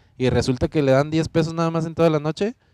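Dry and close with no echo, a man's dark, mellow tone comes through at a very fast pace. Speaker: nightlife podcast host, former DJ. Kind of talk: casual chat.

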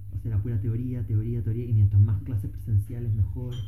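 A man speaks at a very fast pace with a fairly low pitch. Background noise can be clearly heard. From Chile, Valparaíso. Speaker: biologist and master's student. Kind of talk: casual chat. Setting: at home.

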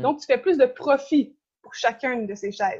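Lively intonation in a woman's high pitch. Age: 20s. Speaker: environmental activist. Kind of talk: interview.

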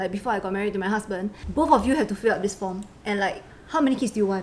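Over noticeable background noise, a woman talks very fast at medium pitch with ordinary pitch variation. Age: 20s. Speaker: insurance agent. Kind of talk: casual chat.

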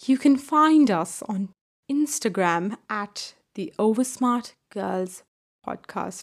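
Somewhat breathy and fairly high-pitched, a woman speaks at a very slow pace with lively intonation. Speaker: podcast host. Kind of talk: casual chat.

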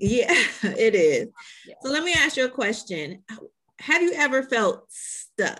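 With an American accent, a woman speaks fairly slowly in a high, bright, sharp voice, using very wide pitch swings and long, frequent pauses. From Chicago. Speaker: podcast host. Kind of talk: interview.

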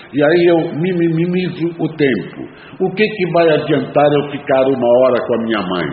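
A man talks at a moderate pace in a fairly high pitch with lively intonation. Audible room echo and noticeable background noise surround him. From Brazil. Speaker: recovering alcoholic sharing a talk. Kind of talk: talk at an AA meeting. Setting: meeting room.

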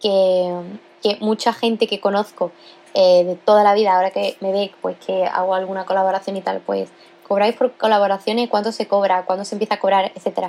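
A woman talks at a fairly quick pace in a medium pitch with monotone, flat intonation. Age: young. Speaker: podcast host. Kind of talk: casual solo monologue. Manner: casual, with many filler sounds.

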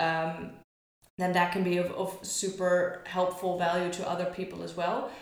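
The woman's voice is fairly low in pitch and monotone. She keeps a moderate pace. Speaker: barista and coffee community founder. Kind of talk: casual interview. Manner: loud.

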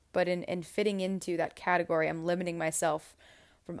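A woman's normal speaking voice with a fairly low pitch. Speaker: podcast host and author. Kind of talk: guided meditation; casual chat. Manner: slow, soft, soothing, calm with long pauses; gentle hypnotic cadence, warm and reassuring.

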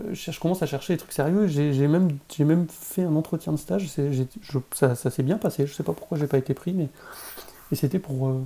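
Moderate pace and fairly high pitch in a man's voice, an ordinary speaking voice. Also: ordinary pitch variation. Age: 40s. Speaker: game developer. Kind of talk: casual chat.

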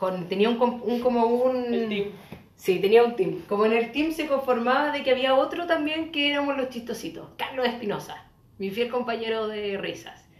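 A woman with a Chilean accent speaks at a high pitch and moderate pace with ordinary pitch variation, amid noticeable background noise and audible room echo. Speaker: podcast co-host. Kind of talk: casual chat.

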